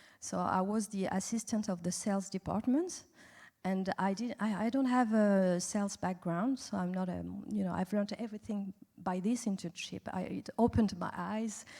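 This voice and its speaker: A woman with a French accent talks at a fairly quick pace in a somewhat breathy voice with a dark, mellow tone. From France. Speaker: animation industry executive. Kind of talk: festival panel interview. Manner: halting, many fillers.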